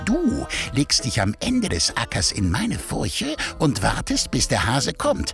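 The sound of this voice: A man puts on a character voice at a medium pitch, slow and fairly bright, with vocal fry and very wide pitch swings. Faint music plays in the background.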